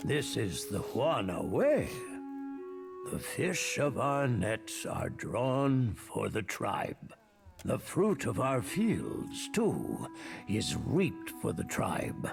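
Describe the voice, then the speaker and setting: A man uses a put-on character voice at a medium pitch and a very slow pace. Clear music plays in the background. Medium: video game. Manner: slow, formal and grave.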